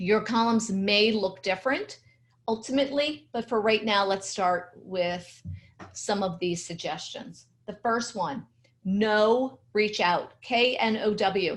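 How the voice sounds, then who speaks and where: Her voice sits at a fairly high pitch. This woman sounds somewhat breathy. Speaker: LinkedIn strategy trainer. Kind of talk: webinar presentation. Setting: video webinar with screen share.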